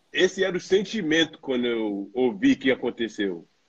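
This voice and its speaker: A man's voice with very wide pitch swings. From New York, US, Brazilian family. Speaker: professional basketball player. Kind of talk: casual chat. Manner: halting.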